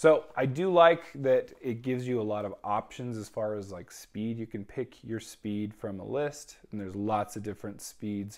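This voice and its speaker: A man at a moderate pace with hardly any pauses, ordinary pitch variation, big swings in loudness and a quiet background. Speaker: book reviewer vlogger. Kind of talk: casual review commentary. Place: home room. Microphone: lapel.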